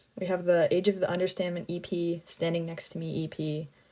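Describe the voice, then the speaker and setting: A woman speaks at a fairly quick pace with a fairly low pitch. Her voice is somewhat breathy. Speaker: student podcaster. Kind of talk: casual solo monologue. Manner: fast; animated.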